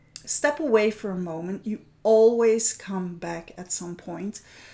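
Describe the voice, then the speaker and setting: A woman at a fairly slow pace, fairly high in pitch, with ordinary pitch variation. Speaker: art journaling teacher hosting a weekly challenge. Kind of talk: livestream chat. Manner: loud.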